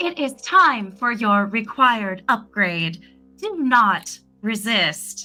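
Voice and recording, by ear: In a put-on, robotic character voice, the speaker goes at a very slow pace while faint music plays in the background. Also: woman, fairly high pitch for a woman.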